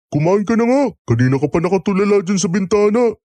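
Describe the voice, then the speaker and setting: A man does a put-on character voice at a high pitch. He goes at a very fast pace with lively intonation. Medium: audio drama.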